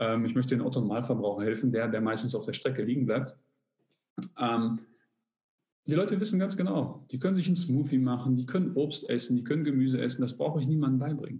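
Very fast male speech at medium pitch, somewhat breathy and dark, mellow in tone, with very even loudness. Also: ordinary pitch variation. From Germany, Polish immigrant family. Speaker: fitness coach and YouTuber. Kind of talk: casual interview.

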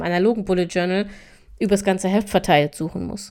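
Speaking very fast, a woman keeps her medium-pitched voice fairly even in intonation. The recording is very clean, with a silent background. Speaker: podcast host on time management. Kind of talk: casual solo podcast talk. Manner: casual with frequent fillers.

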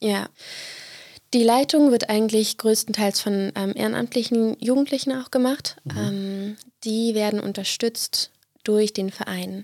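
An ordinary speaking voice comes through with fairly even intonation and a dry, close sound with no echo. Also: woman, fairly high pitch for a woman, fairly slow pace. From eastern Brandenburg, Germany. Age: 20s. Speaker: student and youth music project leader. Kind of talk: podcast interview. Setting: studio.

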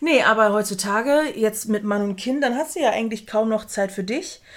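A woman with a fairly high pitch speaks at a moderate pace in an ordinary speaking voice, on a very clean recording with a silent background. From outside Germany. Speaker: podcast co-host. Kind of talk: casual chat. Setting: same room, no window.

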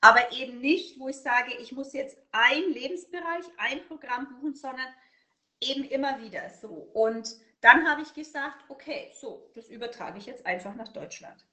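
A woman with a slight Franconian accent speaks at a high pitch, her loudness swinging widely. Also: ordinary pitch variation, moderate pace. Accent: slight Franconian, rolled R. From Upper Franconia, Germany. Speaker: burnout prevention consultant. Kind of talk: interview.

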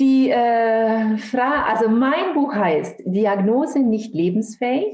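Speaking at a very slow pace with hardly any pauses, a woman keeps a very even loudness, her fairly high voice carrying lively intonation. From Franconia, Germany (Nürnberg). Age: 50s. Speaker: author and bereaved mother. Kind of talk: interview testimony.

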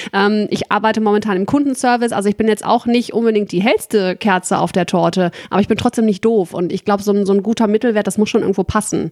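At a very fast pace with hardly any pauses, a woman of medium pitch speaks with fairly even intonation and very even loudness in a dry, close sound with no echo. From Ruhr area, Germany. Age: 30s. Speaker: customer service worker, dating podcast guest. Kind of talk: casual chat.

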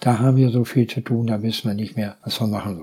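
With a dark, mellow, somewhat breathy tone, a man speaks at a medium pitch and a fairly quick pace, his pitch varying in an ordinary way. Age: 70s. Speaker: local politician. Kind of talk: casual chat.

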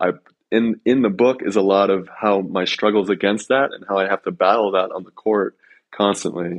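A man talks at a moderate pace with an American accent and fairly even intonation. His pitch is fairly low, in a normal speaking voice. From US, Colorado. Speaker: professional volleyball player and author. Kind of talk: casual interview.

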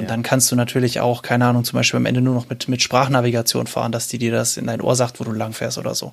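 A man talks at a very fast pace in a medium pitch, with monotone, flat intonation and hardly any pauses. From Swabia, Reutlingen. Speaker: app developer. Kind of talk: casual interview chat.

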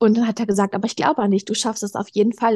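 Her fairly high voice stays monotone and flat as the woman speaks, the sound dry and close with no echo. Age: young. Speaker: eating disorder recovery guest, yoga teacher. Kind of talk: personal interview, testimony.

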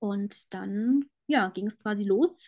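With lively intonation and a somewhat breathy, fairly high voice, a woman speaks in a dry, close sound with no echo. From Germany, Frankfurt. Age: 20s. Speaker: cancer patient sharing her story. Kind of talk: interview, personal testimony.

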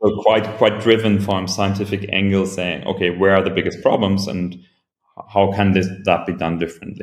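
In a German accent, a man speaks at a fairly low pitch with monotone, flat intonation. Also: moderate pace. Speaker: venture capital investor. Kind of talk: interview. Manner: halting.

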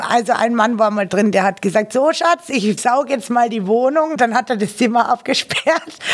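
Noticeable background noise sits behind a woman with a fairly high voice who speaks with hardly any pauses and ordinary pitch variation. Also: moderate pace. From Austria, Carinthia. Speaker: webcam performer and party singer. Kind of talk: casual interview.

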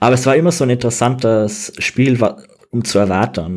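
The voice belongs to a man and is an unremarkable speaking voice. Its tempo is moderate, and its pitch variation is ordinary. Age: 20s. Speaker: game designer. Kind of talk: interview.

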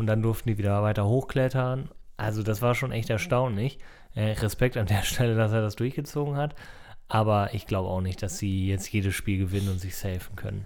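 An unremarkable speaking voice: a man at a fairly low pitch, with ordinary pitch variation and a fairly quick pace, on a very clean recording with a silent background. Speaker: podcast host. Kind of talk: casual chat. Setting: home recording, cat nearby. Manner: chatty, jokey.

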